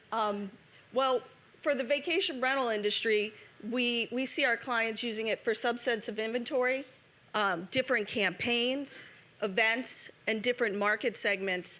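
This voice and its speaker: A woman with a bright, sharp tone talks at a moderate pace, her fairly high voice showing ordinary pitch variation. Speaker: marketing presenter. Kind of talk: conference panel presentation.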